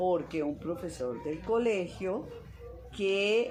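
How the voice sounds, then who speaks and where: A woman speaks at a very slow pace with ordinary pitch variation. Noticeable background noise and audible room echo surround her. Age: 70s. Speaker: mathematician and professor. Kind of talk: interview.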